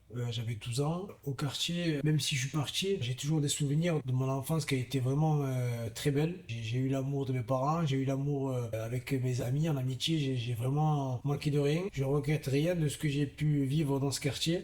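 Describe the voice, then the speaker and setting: A somewhat breathy man's voice, fairly high in pitch, at a moderate pace with fairly even intonation. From southern France, Gard (Vauvert). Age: 30s. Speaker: professional boxer. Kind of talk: interview testimony. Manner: halting, many fillers.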